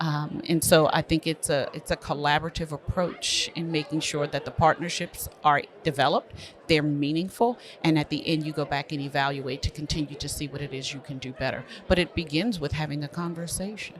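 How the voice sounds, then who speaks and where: An American-accented woman speaks at a fairly quick pace in a very deep, low pitch over noticeable background noise. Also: fairly even intonation. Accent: Baltimore accent, staff say she talks funny. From Baltimore, Maryland. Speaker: school superintendent. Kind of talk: podcast interview. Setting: conference venue.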